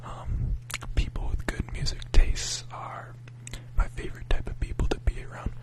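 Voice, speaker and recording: The words come out as a whisper, at a fairly slow pace. Noticeable background noise sits behind them. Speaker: ASMR creator. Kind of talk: ASMR rambling chat. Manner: whispering.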